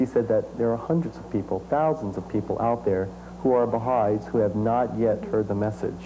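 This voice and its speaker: Light background noise sits behind a man speaking in a normal speaking voice at medium pitch. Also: ordinary pitch variation, fairly quick pace. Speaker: musician and dancer; interviewee. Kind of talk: interview. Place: home room. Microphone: lapel.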